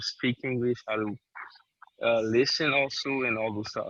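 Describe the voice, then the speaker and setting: A man speaks with a Haitian accent. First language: Haitian Creole. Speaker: interviewee. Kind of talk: interview. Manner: halting.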